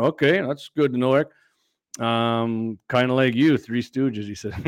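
The recording is dry and close with no echo, carrying a man's ordinary speaking voice at medium pitch with an American accent. His pace is moderate and his intonation fairly even. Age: 50s. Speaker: gun show host. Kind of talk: casual chat.

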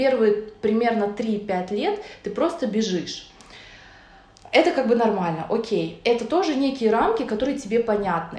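At a fairly slow pace with long, frequent pauses, a woman speaks in a fairly high pitch with lively intonation. Both room echo and background noise can be heard. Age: 30s. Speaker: nutritionist. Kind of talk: casual chat.

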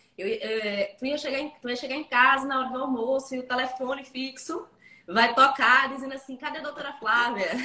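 A woman speaks at a fairly quick pace in a high, raised and projected voice, her loudness swinging widely and her pitch varying in an ordinary way, with noticeable background noise. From interior of Pernambuco, Brazil. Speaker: lawyer. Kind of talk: casual interview.

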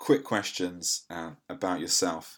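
This man has a very deep, low voice. He speaks with an English accent. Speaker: podcast host and gynecologist. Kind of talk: interview. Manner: halting, many fillers.

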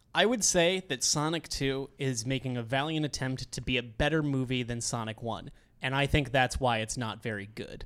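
A man speaks in an ordinary speaking voice at medium pitch, with ordinary pitch variation. He keeps a moderate pace with hardly any pauses. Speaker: podcast host. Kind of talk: casual chat. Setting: studio.

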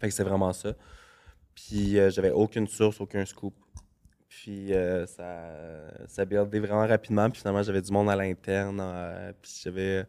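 A man speaks at a moderate pace in a Quebec accent, his fairly low voice dark and mellow, with monotone, flat intonation. Long, frequent pauses break up this very clean recording with a silent background. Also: big swings in loudness. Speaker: celebrity gossip page creator. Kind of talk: casual chat.

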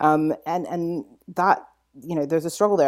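A woman with a British accent speaks in a dark, mellow tone, in a very clean recording with a silent background. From mixed upbringing: UK, Saudi Arabia, US. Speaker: author and lawyer. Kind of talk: podcast interview. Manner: halting, many fillers and repetitions.

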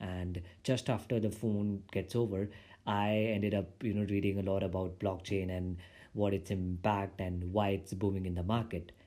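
A man's fairly low-pitched voice, dark and mellow in tone, monotone and flat, at a moderate pace. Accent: Indian. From India. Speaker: podcast host, software developer. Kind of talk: solo podcast monologue. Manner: halting.

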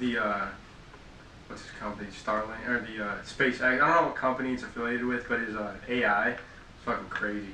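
A man at a medium pitch and fairly quick pace, with fairly even intonation, big swings in loudness, audible room echo and noticeable background noise. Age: young. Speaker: podcast co-host. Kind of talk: casual chat.

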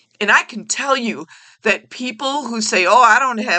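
A woman's high-pitched voice is raised and projected. Her tone is bright and sharp, yet also warm. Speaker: retired teacher and podcast host. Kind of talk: passionate advocacy rant, solo monologue. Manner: passionate, emphatic, repeating key phrases; rambling, tangent-prone, warm and chatty.

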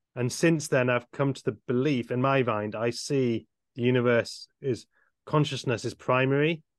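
A man's medium-pitched voice with a British accent, fairly even intonation and a moderate pace. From UK. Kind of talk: casual chat. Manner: halting.

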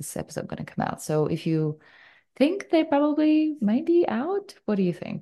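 Over a quiet background, a woman uses a soothing tone, a high pitch with very wide swings, and a moderate pace. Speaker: podcast host and hypnotherapy coach. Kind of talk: interview.

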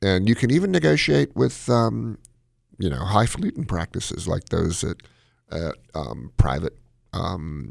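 A man with a very deep, low voice and some vocal fry speaks at a moderate pace with lively intonation. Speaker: cardiologist radio host. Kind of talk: call-in medical advice show. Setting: studio. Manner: mumbles.

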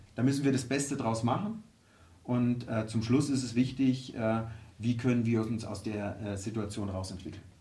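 Heard with audible room echo, a man at a medium pitch speaks at a moderate pace with fairly even intonation and long, frequent pauses. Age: 50s. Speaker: football club executive. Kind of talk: interview. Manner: halting, many fillers.

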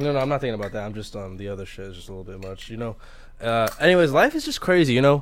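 Speaking very fast with lively intonation, a man talks in an American accent. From Manhattan, New York. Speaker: podcast co-host. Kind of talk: casual banter. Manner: laid-back, slangy.

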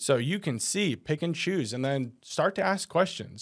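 Over a silent background in a very clean recording, a man with a plain, everyday voice talks at a moderate pace with lively intonation. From New Jersey. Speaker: financial advisor. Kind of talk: casual chat.

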